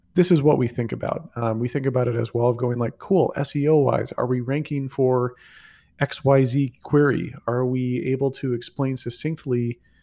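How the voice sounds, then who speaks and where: A man talks at a moderate pace and medium pitch. The background is quiet. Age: 30s. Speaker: tech entrepreneur and growth executive. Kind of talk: interview. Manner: casual, with many fillers.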